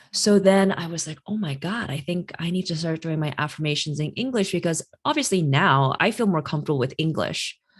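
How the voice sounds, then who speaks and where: Talking fairly quickly with hardly any pauses, a woman uses a fairly low pitch with ordinary variation in a very clean recording with a silent background. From Chinese immigrant family. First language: Chinese. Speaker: career astrologer, podcast host. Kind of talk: casual interview chat. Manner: animated.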